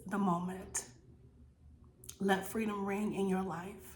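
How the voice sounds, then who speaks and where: Monotone, flat delivery with audible room echo and noticeable background noise. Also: woman. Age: 50s. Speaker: inspirational vlogger sharing personal story. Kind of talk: personal testimony and encouragement. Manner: earnest, emphatic with repetitions.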